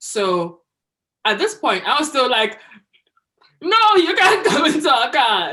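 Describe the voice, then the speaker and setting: A bright, sharp tone with very wide pitch swings. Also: woman. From Nigeria. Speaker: founder of a women's advocacy group. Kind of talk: casual chat. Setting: studio.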